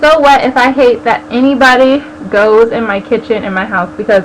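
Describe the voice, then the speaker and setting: A woman with an American accent talks at a fairly quick pace and a high pitch, over noticeable background noise. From US West Coast, San Diego. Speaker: video blogger. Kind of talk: casual vlog chat. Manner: animated.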